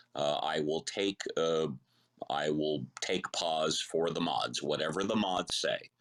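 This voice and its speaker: With vocal fry and very even loudness, a man talks at a very slow pace in a very deep, low voice with ordinary pitch variation. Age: 60s. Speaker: debater. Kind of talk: heated debate.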